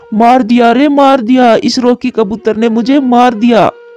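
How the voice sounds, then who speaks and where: A man shouts in a put-on character voice pitched extremely high. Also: moderate pace. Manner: shouting, crying out in pain.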